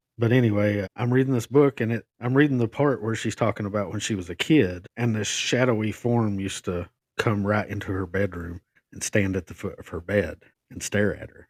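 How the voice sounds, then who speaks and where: Talking at a fairly quick pace with an Appalachian accent, a man uses a fairly low pitch with ordinary pitch variation and big swings in loudness, recorded dry and close with no echo. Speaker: podcast co-host. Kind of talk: casual storytelling of personal ghost encounter.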